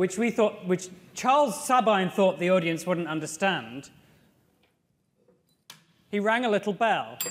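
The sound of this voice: A man speaks at a high pitch with a fairly bright tone. His intonation is lively.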